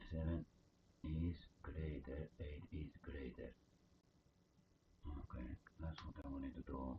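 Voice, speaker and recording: Speaking with a non-native accent at a fairly slow pace, the voice shows vocal fry, fairly even intonation and long, frequent pauses. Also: man, very deep, low pitch for a man. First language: not English. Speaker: coding live streamer. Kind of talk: live coding stream. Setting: live stream. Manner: halting, many fillers.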